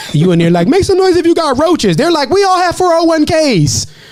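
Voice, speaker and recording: Speech races along at a very fast pace against noticeable background noise. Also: man. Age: 30s. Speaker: stand-up comedian. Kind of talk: casual chat.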